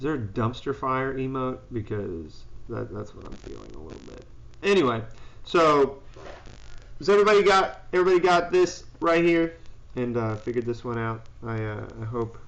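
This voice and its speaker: A man speaks at a moderate pace with very wide pitch swings, big swings in loudness and long, frequent pauses, amid audible room echo. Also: medium pitch for a man. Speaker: high school physics teacher. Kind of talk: live-streamed classroom review and pep talk. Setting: live stream. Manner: loud, confident.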